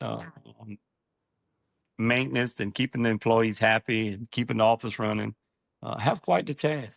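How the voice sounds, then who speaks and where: A man with a Louisiana accent, medium pitch, ordinary pitch variation, and long, frequent pauses. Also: moderate pace, big swings in loudness. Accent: country Louisiana. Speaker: septic business owner. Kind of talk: interview conversation. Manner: halting, many fillers.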